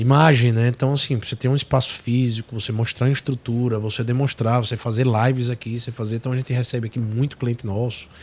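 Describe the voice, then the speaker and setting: A man with a Sergipe accent, medium-pitched and somewhat breathy, at a very fast pace with hardly any pauses. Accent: Northeastern Brazilian (Sergipe). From Sergipe, Brazilian Northeast. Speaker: tech company executive. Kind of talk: podcast interview. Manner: animated.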